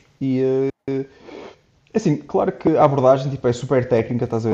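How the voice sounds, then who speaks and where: A man at a moderate pace with a fairly high pitch. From Portugal, Porto. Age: 20s. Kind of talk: casual interview conversation. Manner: hesitant, many fillers and repetitions.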